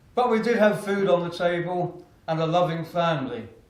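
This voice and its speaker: In an Essex accent, a man speaks in a high pitch with audible room echo. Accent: southern English (Essex). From Essex, England. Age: 60s. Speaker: motivational speaker. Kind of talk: keynote speech.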